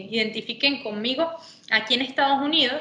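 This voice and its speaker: Speaking at a fairly quick pace, a woman is heard over noticeable background noise. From Venezuela. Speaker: sports manager, former footballer. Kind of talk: interview.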